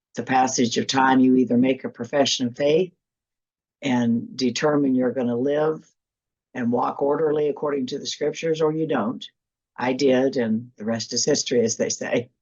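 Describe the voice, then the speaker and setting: Very deep, low female voice, its pitch varying in an ordinary way. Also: moderate pace. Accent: Midwestern US. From Kansas. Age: 60s. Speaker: church attorney. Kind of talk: interview.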